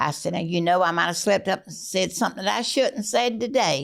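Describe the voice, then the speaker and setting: A woman with a Southern US accent, medium pitch, lively intonation and a fairly quick pace. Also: very clean recording, silent background. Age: 80s+. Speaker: family matriarch. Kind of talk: casual chat.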